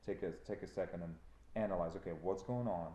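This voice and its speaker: A man with a Ukrainian accent speaks in a very deep, low voice with a dark, mellow tone. He talks fairly quickly, and the room echo is audible. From Ukraine. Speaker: trucking company owner. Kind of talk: casual chat. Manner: animated.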